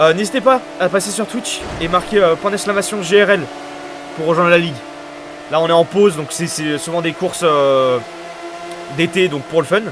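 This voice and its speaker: Over music in the background, a man with a high voice for a man talks with ordinary pitch variation and long, frequent pauses. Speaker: sim racing commentator and streamer. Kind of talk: live commentary. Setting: live stream. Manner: fast; hesitant, many fillers.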